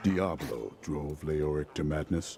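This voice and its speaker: A man speaks at a fairly slow pace in a put-on character voice, his pitch very deep and low. Clear background noise runs under him. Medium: video game. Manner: direct, terse.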